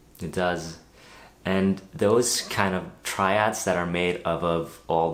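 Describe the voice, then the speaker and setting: A man's very deep, low voice, very slow and fairly even in intonation, with audible room echo and noticeable background noise. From Norway. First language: Norwegian. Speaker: guitarist and guitar teacher. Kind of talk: tutorial. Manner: casual, conversational.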